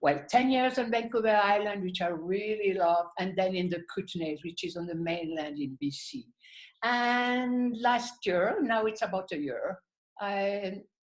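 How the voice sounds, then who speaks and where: In a French accent, the words come out at a fairly slow pace. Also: woman, medium pitch for a woman. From French-speaking Switzerland. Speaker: artist and channeler. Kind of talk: interview.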